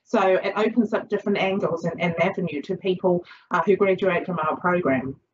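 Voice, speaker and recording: A woman talks fairly quickly with ordinary pitch variation, noticeable background noise running behind her. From Chinese background. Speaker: social work lecturer. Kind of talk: lecture. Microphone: video call.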